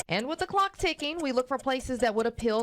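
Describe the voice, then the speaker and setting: A high-pitched woman's voice with lively intonation, set against noticeable background noise. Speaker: news anchor. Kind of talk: TV news feature report.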